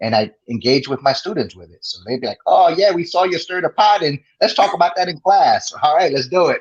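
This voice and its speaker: A man with a New Jersey accent speaks fairly quickly in a high voice. His intonation is lively, and his loudness swings widely. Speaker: sterile processing educator and podcaster. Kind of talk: interview. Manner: animated.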